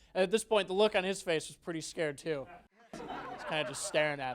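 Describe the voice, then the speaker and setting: Over crowd noise in the background, a man with an American accent talks at a very fast pace with ordinary pitch variation. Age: 20s. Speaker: comedian. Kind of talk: stand-up.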